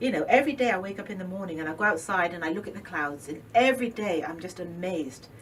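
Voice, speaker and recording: A woman's very fast, lively speech at a medium pitch, with hardly any pauses, over noticeable background noise. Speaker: holistic business owner. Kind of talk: interview. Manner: animated.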